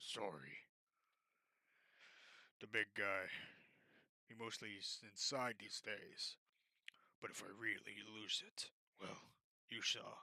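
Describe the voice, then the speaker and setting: A raspy, put-on character voice from a man, at a fairly slow pace with long, frequent pauses. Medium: read story. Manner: blunt, terse.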